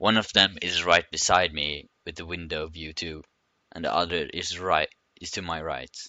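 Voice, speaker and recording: A man with a non-native accent talks at a moderate pace with fairly even intonation. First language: not English. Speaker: gaming youtuber. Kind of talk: reading aloud. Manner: halting.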